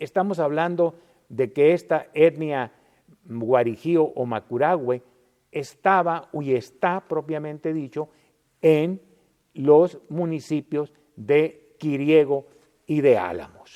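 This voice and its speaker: A man with a fairly high pitch talks at a very slow pace, leaving long, frequent pauses, with ordinary pitch variation and a dark, mellow tone. The sound is dry and close with no echo, over a quiet background. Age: 70s. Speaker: historian. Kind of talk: lecture. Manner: halting, with fillers and restarts.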